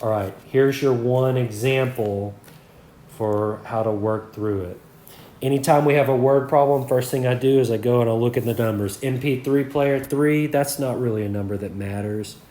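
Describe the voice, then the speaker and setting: In a room with audible echo, a man at a medium pitch speaks at a moderate pace in a dark, mellow tone with fairly even intonation. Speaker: math teacher. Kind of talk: lecture. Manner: conversational, frequent 'okay' and 'all right'.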